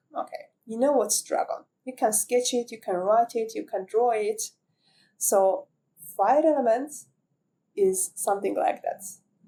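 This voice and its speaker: Speaking at a fairly slow pace with long, frequent pauses, a woman with a non-native accent uses a high pitch, lively intonation and a dark, mellow tone. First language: not English. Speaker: spiritual content creator. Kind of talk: reflective monologue to camera. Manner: halting, with fillers and restarts.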